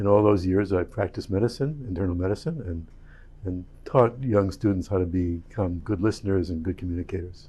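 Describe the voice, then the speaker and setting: The voice is dark and mellow, somewhat breathy, with ordinary pitch variation and a fairly quick pace. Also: man. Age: 70s. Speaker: board candidate, retired physician. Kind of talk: recorded candidate introduction.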